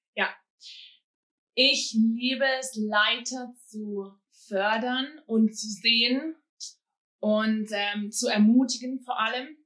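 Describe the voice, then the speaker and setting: Speaking at a very slow pace, a woman with a fairly high pitch leaves long, frequent pauses. Her tone is bright and sharp, her intonation fairly even, and her loudness swings widely. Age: 30s. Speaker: youth pastor. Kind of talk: casual chat.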